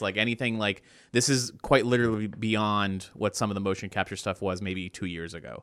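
At a fairly quick pace, a man talks in an ordinary speaking voice at a fairly low pitch. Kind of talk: casual chat, informal banter.

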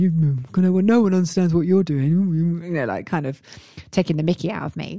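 Music plays in the background as a woman speaks at a fairly quick pace with fairly low pitch. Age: 40s. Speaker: podcast host and life coach. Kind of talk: pep talk. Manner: animated, urgent, motivational; direct and encouraging, speaking straight to the listener.

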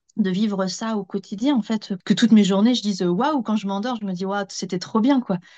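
Dark and mellow in tone, a woman's voice is somewhat breathy and medium in pitch. She speaks at a fairly quick pace. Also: dry, close sound with no echo. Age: 40s. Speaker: former teacher and travel enthusiast. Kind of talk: casual interview. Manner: hesitant, many fillers.

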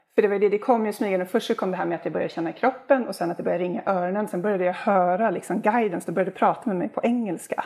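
A woman talking very fast with hardly any pauses and ordinary pitch variation, over noticeable background noise. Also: medium pitch for a woman. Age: 50s. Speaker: healer. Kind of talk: casual chat.

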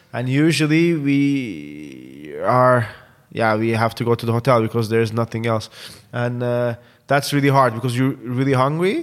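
Delivery comes at a moderate pace with a Turkish accent. The intonation is lively. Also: man, medium pitch for a man. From Turkey. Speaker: football content presenter. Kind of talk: casual interview chat.

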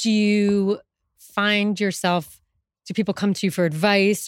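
A woman has a plain, everyday voice at a medium pitch and a moderate pace. The recording is very clean, with a silent background. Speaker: podcast host. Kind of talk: live interview. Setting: stage with audience.

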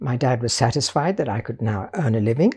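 With a British accent, this voice comes through clearly. Nothing can be heard behind it on this very clean recording. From Portugal (British family, near Lisbon). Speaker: visual artist. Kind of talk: interview. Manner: formal.

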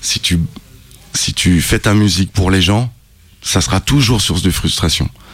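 A man's very deep, low voice at a fairly slow pace, with ordinary pitch variation and long, frequent pauses. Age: 30s. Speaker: rapper. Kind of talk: interview. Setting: studio.

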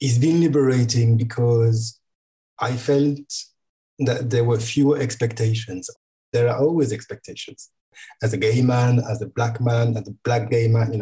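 In a French accent, the speaker talks at a moderate pace with fairly even intonation. The tone is dark and mellow, and somewhat breathy. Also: man, medium pitch for a man. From France. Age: 40s. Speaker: photographer and designer, guest interviewer. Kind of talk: casual interview chat.

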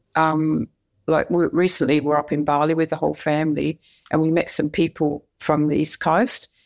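A woman speaks in an Australian accent at a very deep, low pitch. Her pace is fairly quick, and the recording is very clean with a silent background. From Perth, Western Australia. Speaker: retired soccer referee. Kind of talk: interview.

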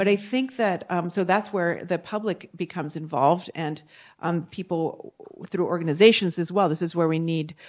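A plain, everyday voice from a woman with an American accent, fairly low in pitch. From United States. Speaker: sociology professor. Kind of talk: panel talk.

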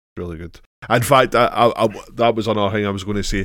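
A man speaks with a Scottish accent. His pitch is very deep and low. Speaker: podcast co-host. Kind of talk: casual chat.

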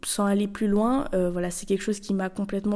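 A woman speaks at a medium pitch. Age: 20s. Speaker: architecture student and podcaster. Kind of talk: casual solo monologue. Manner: hesitant, many fillers.

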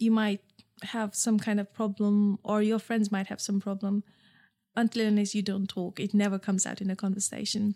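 At a fairly quick pace, a dark, mellow, somewhat breathy voice speaks in a flat monotone on a very clean recording with a silent background. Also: woman, medium pitch for a woman. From Nepal. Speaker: entrepreneur, founder of a period underwear brand. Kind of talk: interview. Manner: halting, with repetitions.

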